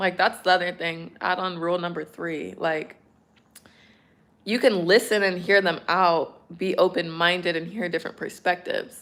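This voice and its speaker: A woman with an American accent speaks at a moderate pace in a fairly low pitch, on a very clean recording with a silent background. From California. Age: 20s. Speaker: streamer. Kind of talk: casual chat. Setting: livestream. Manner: animated.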